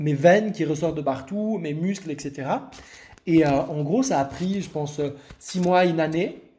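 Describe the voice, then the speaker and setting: A man's fairly high voice at a fairly slow pace, ordinary pitch variation, and audible room echo. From Lebanon. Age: 20s. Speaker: content creator sharing eating disorder recovery. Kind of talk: interview, personal testimony. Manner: hesitant, many fillers and repetitions.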